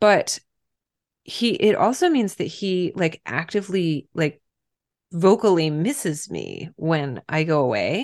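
A woman with an American accent at a medium pitch, very slow pace and lively intonation, against a quiet background. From Pennsylvania, US. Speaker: author. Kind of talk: casual interview chat.

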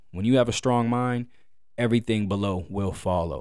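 At a moderate pace, a man speaks with a fairly low pitch in a very clean recording with a silent background. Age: 20s. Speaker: podcast host. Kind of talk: solo monologue. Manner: casual, filler-heavy.

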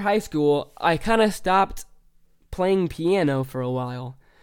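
A man with a fairly high pitch and a Midwestern American accent. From US Midwest, central Illinois. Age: young. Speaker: podcast host, musician. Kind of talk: casual monologue. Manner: hesitant, filler-heavy.

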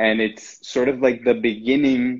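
A man speaks in a monotone, flat way with a slight non-native accent. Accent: near-native English. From Brazil. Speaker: spiritual guide. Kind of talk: casual chat. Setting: video call.

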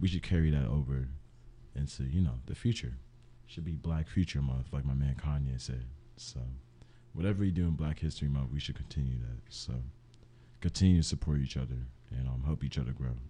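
A very deep, low male voice, dark and mellow, somewhat breathy, at a fairly quick pace with long, frequent pauses. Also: ordinary pitch variation. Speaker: student podcast co-host. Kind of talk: casual chat.

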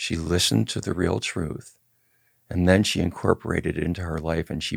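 A man's very deep, low voice with vocal fry and ordinary pitch variation, dry and close with no echo, in a very clean recording with a silent background. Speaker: podcast host and cannabis activist. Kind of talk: interview; scripted narration.

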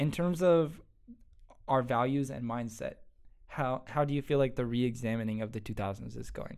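A plain, everyday voice is heard here. Pitch variation is ordinary and the pace is moderate. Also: man, medium pitch for a man. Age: young. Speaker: podcast host. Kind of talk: casual chat.

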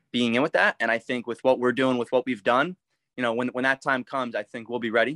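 A plain, everyday voice with an American accent at a fairly quick pace, in dry, close sound with no echo. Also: man. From US Northeast, Philadelphia. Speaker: sports card breaker and content creator. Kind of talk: casual interview.

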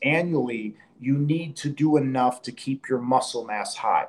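Here is an unremarkable speaking voice from a man. His pitch is medium, with ordinary variation. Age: 40s. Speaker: grip strongman. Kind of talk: casual chat.

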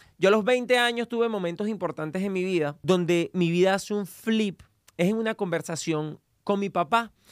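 A man's high-pitched, energetic voice at a moderate pace, in a very clean recording with a silent background and a dry, close sound with no echo. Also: ordinary pitch variation. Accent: Venezuelan. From Venezuela. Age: 30s. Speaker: podcast host and entrepreneur. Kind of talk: motivational monologue.

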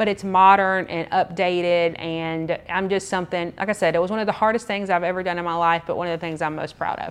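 A woman with a Georgia accent talks at a very fast pace, leaving hardly any pauses. Her intonation is monotone and flat, over a quiet background. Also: fairly low pitch for a woman. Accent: US Southern (Georgia). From Georgia, US (Clayton and Henry County). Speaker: media and marketing business owner. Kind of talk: podcast interview.

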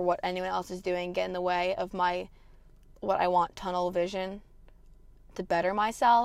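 A woman uses a normal speaking voice at a fairly quick pace. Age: 20s. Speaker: podcast host. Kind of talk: casual monologue.

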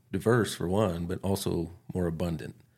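This man has a very deep, low voice with a dark, mellow tone and a moderate pace. The recording is very clean, with a silent background. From northern New Mexico. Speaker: wildlife biologist. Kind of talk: interview. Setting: in person. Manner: halting.

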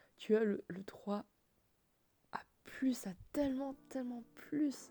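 Dark, mellow tone from a woman, with ordinary pitch variation. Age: 20s. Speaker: podcaster. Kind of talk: personal monologue. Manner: halting.

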